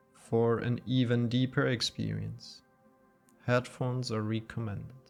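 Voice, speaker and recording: A man speaks at a fairly slow pace while music plays in the background. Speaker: yoga nidra guide. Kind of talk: guided meditation. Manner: slow, soft-spoken.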